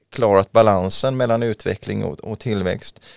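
With ordinary pitch variation and a fairly slow pace, a normal speaking voice is heard dry and close with no echo in a very clean recording over a silent background. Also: man. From western Sweden, Mölndal near Gothenburg. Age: 40s. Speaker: local politician. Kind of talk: interview. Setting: studio.

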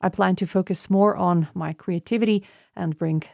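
In a Slovenian accent, a woman talks at a medium pitch on a very clean recording with a silent background. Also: dry, close sound with no echo. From Slovenia, Maribor. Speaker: radio journalist. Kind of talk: prepared monologue.

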